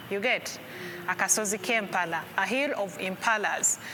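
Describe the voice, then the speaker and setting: A woman with a Ugandan accent talks fairly slowly with lively intonation over noticeable background noise. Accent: Ugandan accent, own remark. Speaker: tour guide. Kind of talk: guided tour explanation.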